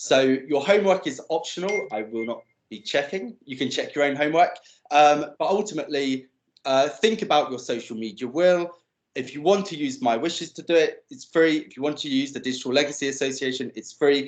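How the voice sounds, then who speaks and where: Big swings in loudness mark a man's plain, everyday voice, delivered at a fairly quick pace with ordinary pitch variation. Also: fairly high pitch for a man. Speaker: digital legacy speaker. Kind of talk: presentation.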